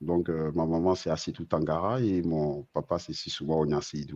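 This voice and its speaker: A man with a very deep, low voice speaks at a fairly slow pace with ordinary pitch variation. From Côte d'Ivoire, Abidjan (Treichville). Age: 40s. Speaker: navigation science engineer. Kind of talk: interview. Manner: hesitant, many fillers.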